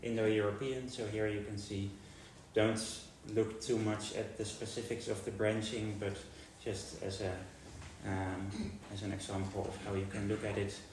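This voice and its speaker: Amid noticeable background noise and audible room echo, a man with a Dutch accent talks at a fairly slow pace and fairly low pitch in a monotone, flat intonation. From Netherlands. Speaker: linguistics researcher. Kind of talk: lecture. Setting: university seminar with audience. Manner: hesitant with frequent fillers.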